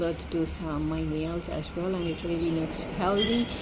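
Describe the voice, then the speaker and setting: A woman's voice at a moderate pace, with audible room echo and noticeable background noise. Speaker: vlogger. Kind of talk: casual monologue vlog. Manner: halting with repetitions.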